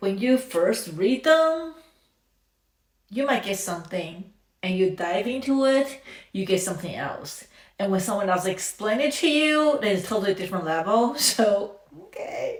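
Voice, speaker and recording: A woman with a non-native accent speaks at a moderate pace, her pitch swinging very widely. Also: medium pitch for a woman. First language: not English. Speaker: reaction video creator. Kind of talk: casual reaction commentary. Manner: halting.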